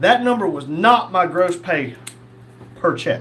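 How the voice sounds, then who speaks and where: A man with a high voice talks at a moderate pace. Noticeable background noise and audible room echo surround him. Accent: Southern US. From North Carolina. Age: 50s. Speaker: live streamer, former police officer. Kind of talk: casual livestream chat reading viewer comments. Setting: livestream.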